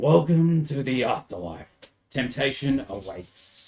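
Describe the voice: This put-on character voice is raspy, moving at a fairly slow pace with very wide pitch swings. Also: man, medium pitch for a man.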